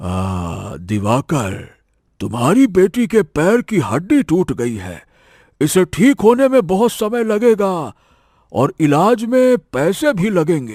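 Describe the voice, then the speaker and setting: A man does a cartoonish character voice, pitched high with very wide pitch swings at a fairly slow pace, on a very clean recording with a silent background. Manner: calm, businesslike.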